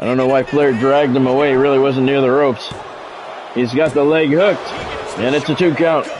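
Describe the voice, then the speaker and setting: A man talks at a fairly quick pace in a fairly high pitch, with fairly even intonation and very even loudness. He leaves long, frequent pauses, and noticeable background noise is present. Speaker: gaming YouTuber and wrestling game streamer. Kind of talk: live wrestling play-by-play commentary over a game match. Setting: live stream. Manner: casual, conversational chatter with viewers.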